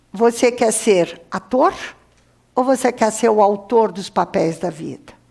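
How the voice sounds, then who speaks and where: Pitched fairly high, a woman talks with ordinary pitch variation. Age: 60s. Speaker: professor. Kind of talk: lecture.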